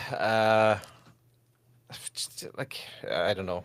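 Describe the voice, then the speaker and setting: Fairly even in intonation, a man talks at a medium pitch. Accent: Irish. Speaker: podcast host. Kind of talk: live post-match fan reaction.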